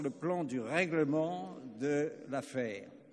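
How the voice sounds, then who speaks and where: This man speaks at a fairly high pitch, his intonation lively. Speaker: retired army colonel, international affairs consultant. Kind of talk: conference speech. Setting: conference with interpreters. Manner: slow.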